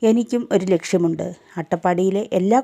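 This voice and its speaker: In a dry, close sound with no echo, a woman with a medium pitch and fairly even intonation has an unremarkable speaking voice. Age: 40s. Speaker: direct selling distributor. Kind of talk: sales pitch.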